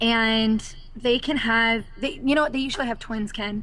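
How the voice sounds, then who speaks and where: A woman's high-pitched voice keeps to a moderate pace. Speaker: zoo educator, field correspondent. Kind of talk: casual interview chat. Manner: animated.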